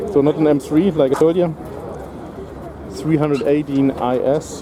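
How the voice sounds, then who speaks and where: Someone with a German accent speaks at a moderate pace against noticeable background noise. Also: man, fairly high pitch for a man, ordinary pitch variation. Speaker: car vlogger. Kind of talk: casual walkthrough vlog commentary. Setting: outdoors at a car show. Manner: hesitant, many fillers.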